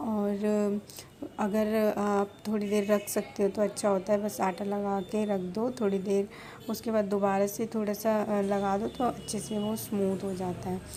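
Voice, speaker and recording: Soft-spoken, a woman with a dark, mellow tone talks at medium pitch in a monotone, flat intonation. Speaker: family vlogger. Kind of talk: casual vlog narration. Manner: slow.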